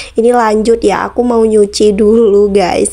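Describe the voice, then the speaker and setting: Her voice is fairly high for a woman. Noticeable background noise runs behind the woman. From Bondowoso, East Java, Indonesia (Madurese area). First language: Madurese (speaking Indonesian). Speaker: vlogger. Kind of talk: casual vlog talk to viewers. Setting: outdoors washing area, doing laundry. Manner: casual, chatty.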